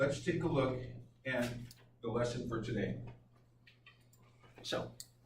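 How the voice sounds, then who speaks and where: The speaker goes at a fairly slow pace with ordinary pitch variation, amid audible room echo and noticeable background noise. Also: man, medium pitch for a man. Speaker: teacher. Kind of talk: lecture. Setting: classroom. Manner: loud. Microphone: no mic, recorded from room.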